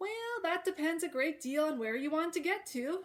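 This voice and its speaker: Using a put-on character voice, a woman talks in an extremely high, squeaky pitch with lively intonation, a raised, projected voice and a moderate pace. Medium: read story. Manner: amused, unhurried, riddling.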